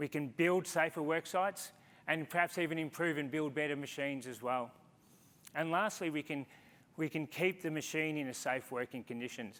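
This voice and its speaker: A fairly high-pitched man with an Australian accent at a moderate pace, showing ordinary pitch variation. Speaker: conference speaker, engineer in business development. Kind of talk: conference talk.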